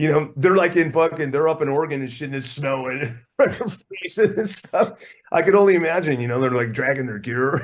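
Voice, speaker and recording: Fairly high in pitch and fairly quick in pace, a man speaks with an American accent and ordinary pitch variation. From US West Coast, Oakland, California. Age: 60s. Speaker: rock drummer. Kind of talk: casual interview chat. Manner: animated.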